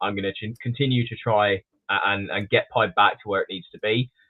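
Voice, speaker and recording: Fairly quick male speech in an English accent. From England. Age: 20s. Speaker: snake breeder. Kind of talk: podcast interview. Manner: halting, many fillers and restarts.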